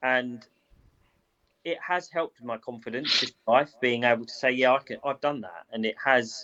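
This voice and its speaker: With a British accent, a man speaks at a medium pitch and a moderate pace. His pitch varies in an ordinary way, while his loudness swings widely. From Britain. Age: 30s. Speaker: boxing cutman. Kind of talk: interview.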